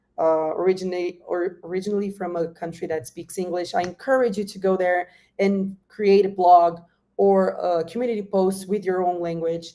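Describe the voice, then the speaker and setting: A woman in a Brazilian Portuguese accent speaks at a moderate pace with a medium pitch, a dark, mellow tone and fairly even intonation. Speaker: industry guest speaker. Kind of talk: workshop presentation. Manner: halting.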